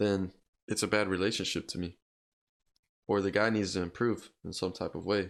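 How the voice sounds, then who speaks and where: With monotone, flat intonation, a man speaks at a moderate pace and fairly low pitch, leaving long, frequent pauses, on a very clean recording with a silent background. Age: 20s. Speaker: podcast host. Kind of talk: casual chat.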